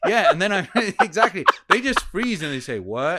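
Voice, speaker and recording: A man's bright, sharp voice at a fairly quick pace, on a very clean recording with a silent background. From England. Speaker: communication coach. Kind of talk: podcast interview.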